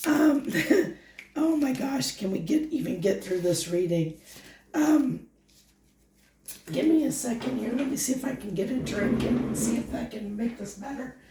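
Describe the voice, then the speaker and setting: A woman with a high-pitched voice speaks at a moderate pace with lively intonation and long, frequent pauses, amid audible room echo and noticeable background noise. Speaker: tarot reader. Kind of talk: tarot reading monologue. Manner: halting.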